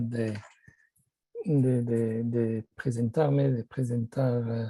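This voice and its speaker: Very slowly and in a French accent, a man speaks at a medium pitch in a dark, mellow, somewhat breathy tone with monotone, flat intonation and a dry, close sound with no echo. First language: French (speaking Spanish). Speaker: policy consultant, panelist. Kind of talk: conference presentation.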